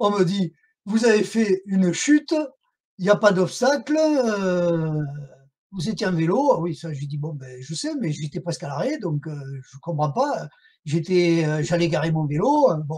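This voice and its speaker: His voice is high-pitched with lively intonation and big swings in loudness. The man speaks at a fairly slow pace. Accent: southern French. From southern France. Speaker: whistleblower and association activist. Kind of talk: interview testimony. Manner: halting, many fillers.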